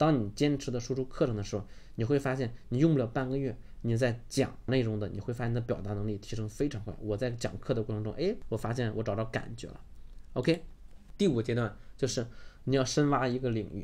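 Through audible room echo, a man's medium-pitched voice comes across with a dark, mellow tone. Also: ordinary pitch variation, fairly quick pace. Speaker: online course instructor. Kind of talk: lecture.

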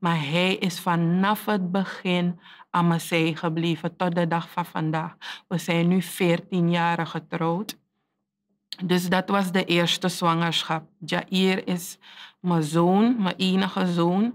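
The speech moves at a very slow pace, flat and monotone, with very even loudness. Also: woman. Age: 30s. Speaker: teacher; teacher telling life story. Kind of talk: testimony. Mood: earnest, reflective, emotional topic. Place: studio.

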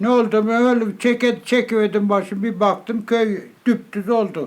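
A man speaks at high pitch and a fairly slow pace. His intonation is monotone and flat, and his loudness very even. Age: 80s+. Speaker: former village headman, earthquake survivor. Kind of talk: interview answer.

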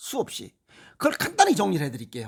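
A man with an animated tone is heard on a very clean recording with a silent background. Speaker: health lecturer. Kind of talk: lecture.

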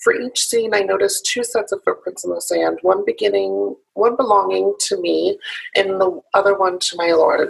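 A woman talks at a moderate pace with a quiet background behind her. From US Midwest (Illinois), born in South Carolina. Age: 20s. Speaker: activist; interview guest. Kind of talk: interview. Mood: calm, reverent. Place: home room. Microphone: video call.

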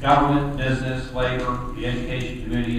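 A man talks fast at a medium pitch with fairly even intonation. Room echo is audible, and background noise comes through clearly.

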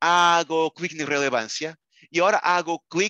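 In a Portuguese accent, a man with a high, bright, sharp voice speaks in an animated tone at a fairly slow pace, with a dry sound, no echo and a quiet background. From Portugal. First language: Portuguese (speaking Spanish). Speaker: librarian and software trainer; product trainer. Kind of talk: online training webinar. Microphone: webcam.

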